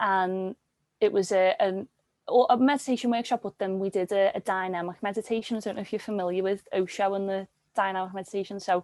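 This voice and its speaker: A woman in a Liverpool accent talks at a fairly quick pace, her medium pitch showing ordinary variation, with a dry, close sound, no echo, and a quiet background. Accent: Liverpool (Scouse) English. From Liverpool, England. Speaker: yoga teacher and workshop facilitator. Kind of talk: interview.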